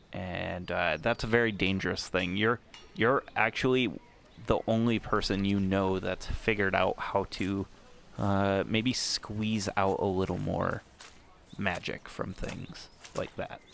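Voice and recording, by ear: A man talks at a slow pace with a low pitch and a fairly bright tone. His intonation is fairly even, with vocal fry.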